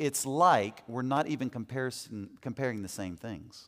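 The recording is very clean, the background silent. The man's pitch sits in the medium range. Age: 40s. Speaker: men's ministry teacher. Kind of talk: teaching talk to a men's group. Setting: in front of a live group. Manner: conversational.

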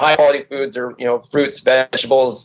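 This man has a normal speaking voice, pitched fairly high, and talks at a moderate pace. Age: 40s. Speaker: endurance sports journalist and author. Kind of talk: interview.

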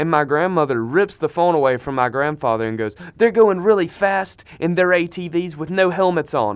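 With an American accent, a man talks at a moderate pace and a fairly high pitch, his animated tone and lively intonation running on with hardly any pauses. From Minnesota. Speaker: podcast co-host, college student. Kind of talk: casual chat. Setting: studio.

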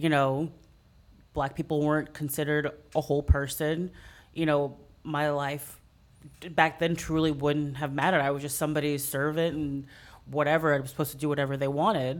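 Recorded very cleanly against a silent background, a woman with an American accent speaks at a fairly quick pace with a very deep, low pitch, monotone, flat intonation and long, frequent pauses. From Texas, San Antonio. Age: 30s. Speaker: fitness coach. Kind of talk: casual discussion.

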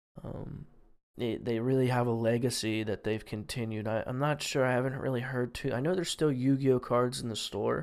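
Recorded very cleanly against a silent background, a man talks at a fairly quick pace and medium pitch with fairly even intonation. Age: 20s. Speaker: podcast host and streamer. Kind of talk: solo podcast monologue. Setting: home studio mic. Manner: halting, many fillers and repeats.

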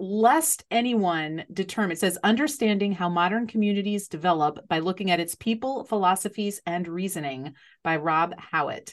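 A woman's normal speaking voice at medium pitch, moderate pace and lively intonation, against a quiet background. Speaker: podcast host. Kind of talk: interview conversation.

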